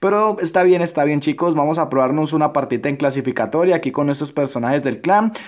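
Against a quiet background, a man speaks at a very fast pace. His pitch is fairly high, with ordinary variation. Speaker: gaming youtuber. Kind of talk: gameplay commentary. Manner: subdued.

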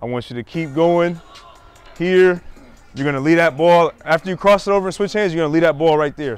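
A man talks at a fairly quick pace with ordinary pitch variation. The sound is dry with no echo, and faint music plays in the background. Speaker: basketball coach. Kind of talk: coaching instructions. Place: street.

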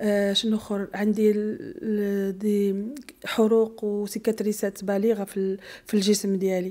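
Against a quiet background, the speech moves at a fairly slow pace with fairly even intonation. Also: woman, medium pitch for a woman. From Morocco. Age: 40s. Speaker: bombing survivor; interviewee. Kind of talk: testimony. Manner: halting. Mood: emotional, pleading. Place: studio. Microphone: handheld.

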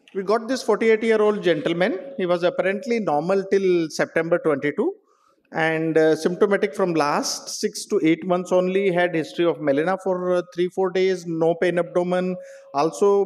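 This man's voice has a high pitch, ordinary pitch variation and a moderate pace. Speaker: medical professor presenting a case. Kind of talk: lecture. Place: hall.

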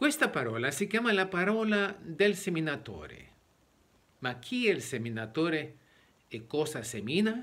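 Pausing long and often, a man with a high pitch speaks with very wide pitch swings. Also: moderate pace. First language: Spanish (speaking Italian). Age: 60s. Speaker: preacher. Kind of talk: sermon. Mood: earnest, explanatory. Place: home room. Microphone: phone near.

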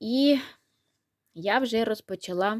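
A woman's voice with ordinary pitch variation, in a dry, close sound with no echo. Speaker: knitting and crafts vlogger. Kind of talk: casual vlog, showing handmade toys.

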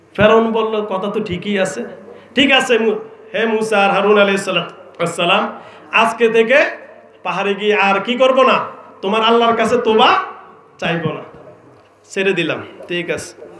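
Amid light background noise and audible room echo, a man speaks with a high pitch and fairly even intonation. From Bangladesh. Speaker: Islamic preacher. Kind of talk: sermon. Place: stage. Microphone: handheld.

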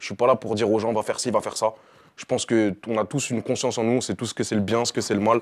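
A man talks at a very fast pace in a fairly low pitch, his intonation monotone and flat, against a quiet background. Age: 20s. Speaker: rapper; interviewee. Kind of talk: interview. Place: studio. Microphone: lapel.

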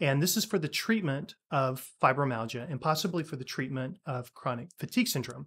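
A man talks with ordinary pitch variation at a moderate pace. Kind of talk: science commentary. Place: office.

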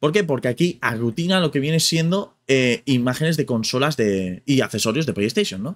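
The pace of this man's speech is moderate. Very wide swings mark his pitch. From Spain. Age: 30s. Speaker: gaming youtuber. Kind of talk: casual vlog commentary. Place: home room.

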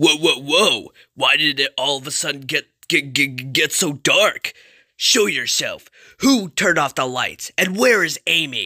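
A put-on character voice at middle pitch and a fairly slow pace, in a very clean recording with a silent background. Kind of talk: comic fan-dub overacting. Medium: machinima. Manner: cocky, brash, goofy.

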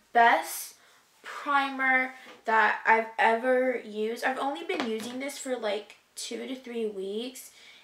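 A woman speaks very slowly in a high pitch, with audible room echo around her voice. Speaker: beauty vlogger. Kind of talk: casual vlog chat. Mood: reflective, somewhat emotional. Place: home room. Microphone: camera far.

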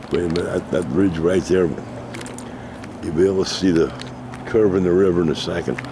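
Fairly quick and fairly even in intonation, a man speaks with a very deep, low pitch. Noticeable background noise is present, and the sound is dry with no echo. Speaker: travel vlogger. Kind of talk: casual vlog commentary. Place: waterside. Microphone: phone near.

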